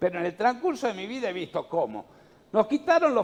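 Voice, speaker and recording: His pitch swinging very widely, a man keeps to a moderate pace. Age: 60s. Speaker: national congressman. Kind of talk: political interview. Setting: radio/TV studio. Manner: emphatic.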